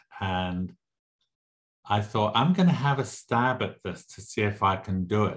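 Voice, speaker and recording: A man's somewhat breathy voice at a fairly low pitch, with ordinary pitch variation, a moderate pace and a quiet background. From Southern Africa (Zimbabwe, South Africa). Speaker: novelist. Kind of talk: interview.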